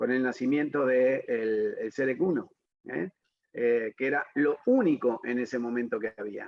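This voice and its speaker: Fairly slowly, a man delivers his words. His pitch sits in the middle range and varies in an ordinary way. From Argentina, Buenos Aires. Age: 60s. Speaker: dentist and professor. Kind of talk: interview. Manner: hesitant, many fillers.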